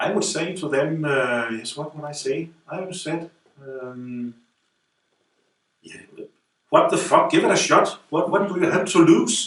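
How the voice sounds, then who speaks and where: Speaking at a fairly slow pace, a man leaves long, frequent pauses while his loudness swings widely. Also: ordinary pitch variation. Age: 50s. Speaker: student of a self-help method, care worker. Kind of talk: interview testimony. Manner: halting, many repetitions.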